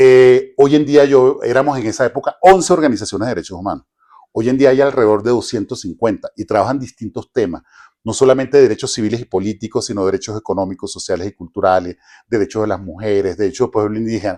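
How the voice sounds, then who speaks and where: Against a quiet background, a man with a dark, mellow tone and a medium pitch talks at a very fast pace with ordinary pitch variation, the sound dry and close with no echo. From Venezuela. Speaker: human rights specialist. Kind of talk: interview. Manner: halting, many false starts.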